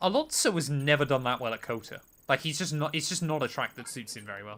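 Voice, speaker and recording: With a West Country accent, a man talks at a very fast pace in a bright, sharp tone, his fairly high pitch carried by lively intonation. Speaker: gaming streamer. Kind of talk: live-stream casual chat while gaming.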